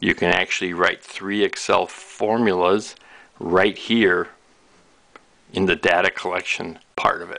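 At a fairly slow pace, a man talks with monotone, flat intonation. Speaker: product demonstrator. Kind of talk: tutorial. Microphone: camera far.

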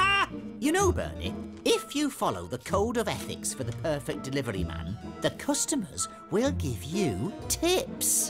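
A cartoonish character voice over clear music in the background. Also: moderate pace. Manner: prim, schoolmasterly, exasperated.

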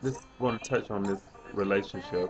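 With light background noise behind it, the voice shows ordinary pitch variation. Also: man. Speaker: flight attendant vlogger. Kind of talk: casual vlog chat. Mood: relaxed, reflective. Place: home room. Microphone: webcam.

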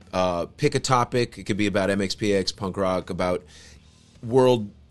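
Faint music plays in the background as a man speaks with fairly even intonation. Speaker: podcast host. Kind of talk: casual podcast monologue. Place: home room. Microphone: studio mic.

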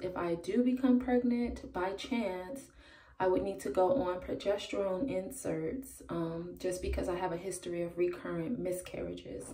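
Quiet and at a fairly slow pace, a woman speaks with ordinary pitch variation amid audible room echo. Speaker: parenting vlogger. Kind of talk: casual vlog. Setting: at home. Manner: hesitant, many ums. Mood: calm, a bit nervous. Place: bathroom. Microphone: phone near.

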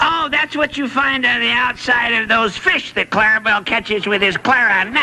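A cartoonish character voice with a fairly high pitch moves at a moderate pace. Clear background noise can be heard. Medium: puppet show. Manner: goofy, punning.

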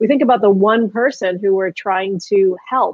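Against a quiet background, a woman talks with ordinary pitch variation. The sound is dry, with no echo. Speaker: interview guest. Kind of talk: interview answer. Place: home room. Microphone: webcam.

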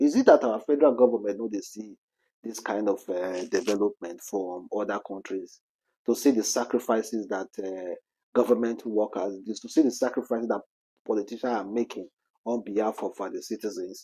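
Dark, mellow tone at a moderate pace, big swings in loudness, quiet background. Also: man. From Nigeria. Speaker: celebrity news vlogger. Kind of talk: casual commentary. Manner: animated. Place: home room. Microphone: lapel.

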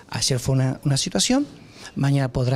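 A man with a Rioplatense accent speaks at a fairly high pitch, his pitch rising and falling in an ordinary way. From Argentina, Quequén (Buenos Aires province). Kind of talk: news interview. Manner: halting, with fillers and repetitions.

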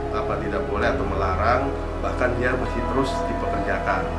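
Over loud background music, a man speaks at a moderate pace. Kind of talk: interview answer. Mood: serious, concerned. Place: office.

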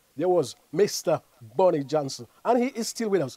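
A man speaks at a fairly slow pace with very wide pitch swings, in a quiet background with dry sound and no echo. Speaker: show host. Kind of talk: casual commentary with shout-outs. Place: studio. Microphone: lapel.

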